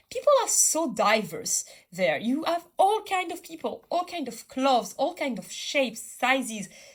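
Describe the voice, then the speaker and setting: A woman with a French accent speaks at a moderate pace, her pitch swinging very widely. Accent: French accent, self-described as a mess. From France, Bordeaux. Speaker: artist. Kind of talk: casual chat. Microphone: poor sound quality.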